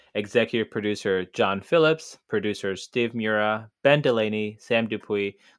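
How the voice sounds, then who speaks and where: Against a quiet background, a man with an ordinary speaking voice and fairly low pitch talks at a moderate pace in a dry, close sound with no echo. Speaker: running coach co-host. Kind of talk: podcast conversation.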